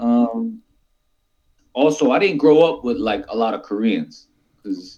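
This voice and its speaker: In a Philadelphia accent, a man with medium pitch and a dark, mellow tone speaks fairly slowly, relaxed in tone yet lively in intonation. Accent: Philadelphia neighborhood. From US Northeast (West Philadelphia). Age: 40s. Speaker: talk show guest. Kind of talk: casual chat. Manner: relaxed conversational slang.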